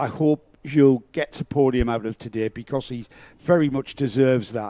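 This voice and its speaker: A man speaks at a medium pitch in a dark, mellow tone, with ordinary pitch variation. His moderate pace comes through with a dry, close sound with no echo. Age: 60s. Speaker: motorsport commentator. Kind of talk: live commentary.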